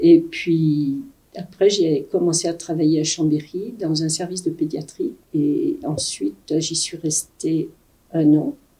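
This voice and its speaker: Noticeable background noise runs under a woman who talks at a very slow pace. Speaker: retired nurse. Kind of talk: interview testimony.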